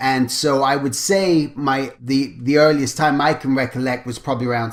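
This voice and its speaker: This man speaks with an American accent at a medium pitch. His intonation stays fairly even and his pace is moderate. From England. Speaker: character designer. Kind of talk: interview.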